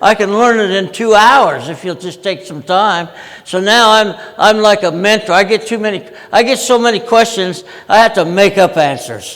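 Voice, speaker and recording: High male voice with ordinary pitch variation at a moderate pace, amid noticeable background noise. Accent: American. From Utah, US. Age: 80s+. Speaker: project management veteran and conference speaker. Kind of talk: conference talk. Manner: many fillers and restarts.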